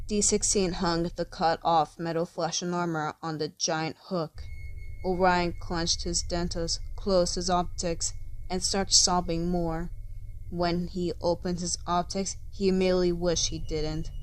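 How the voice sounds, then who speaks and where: With music playing in the background, a woman speaks at a moderate pace. Her pitch is fairly low and her intonation is flat and monotone. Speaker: fanfiction narrator. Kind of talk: fiction reading.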